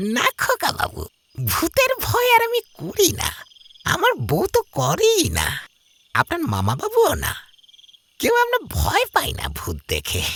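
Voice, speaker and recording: The voice is a put-on character voice. Its pace is moderate. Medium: read story. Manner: hushed, urgent.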